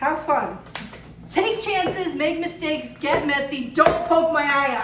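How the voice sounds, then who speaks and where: Audible room echo and noticeable background noise surround a woman who speaks in an animated tone at a high pitch and fairly slow pace, with ordinary pitch variation. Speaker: craft video host. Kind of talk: casual chat.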